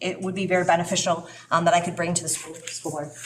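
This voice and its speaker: A woman speaks at a very fast pace with noticeable background noise behind her. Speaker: school board candidate. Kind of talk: public forum answer. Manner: halting.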